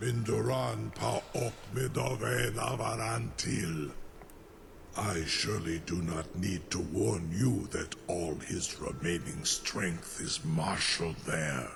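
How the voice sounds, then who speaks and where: A put-on character voice from a man, very deep and low, over clear background noise. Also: fairly slow pace. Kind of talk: epic fantasy game dialogue. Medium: video game. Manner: formal, lofty, archaic.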